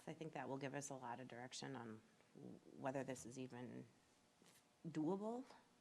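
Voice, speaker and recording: A soft-spoken woman with a very deep, low pitch and a dark, mellow tone talks at a fairly quick pace with vocal fry, ordinary pitch variation and long, frequent pauses. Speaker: planning commissioner. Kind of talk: public meeting discussion. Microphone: too quiet, poor mic use.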